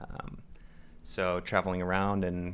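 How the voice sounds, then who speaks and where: With an American accent, a man speaks in a very deep, low pitch and a monotone, flat intonation. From US Northeast, Long Island, New York. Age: 20s. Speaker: rock climber. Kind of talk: interview.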